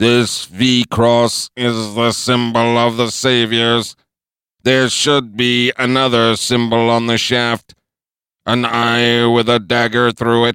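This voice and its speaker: Putting on a robotic character voice, a man speaks at a medium pitch in a flat monotone, very slowly and with very even loudness. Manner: blurts obscene tics, nervous then cocky.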